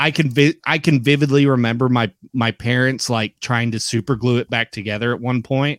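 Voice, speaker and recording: A man with an ordinary speaking voice and an American accent talks at a fairly quick pace and medium pitch, his intonation fairly even and the sound dry and close with no echo. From Oklahoma. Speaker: wrestling podcast host. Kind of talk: casual chat.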